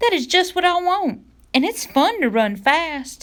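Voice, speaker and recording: This is a put-on character voice pitched extremely high. It moves at a moderate pace in a sing-song way. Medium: read story.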